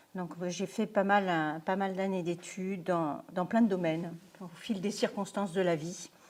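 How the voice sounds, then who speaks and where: Speaking at a fairly slow pace, a woman keeps a medium pitch and a fairly even intonation. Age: 60s. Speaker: lecturer, retired software project manager. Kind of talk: lecture. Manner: halting.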